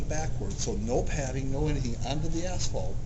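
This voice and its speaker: Noticeable background noise and audible room echo accompany a man who talks fairly quickly. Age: 50s. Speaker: pro wrestler and stuntman. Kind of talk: casual interview. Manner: animated.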